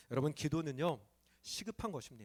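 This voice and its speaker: Here a man with a fairly high pitch makes very wide pitch swings. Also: very clean recording, silent background. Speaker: pastor. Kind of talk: sermon. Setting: church.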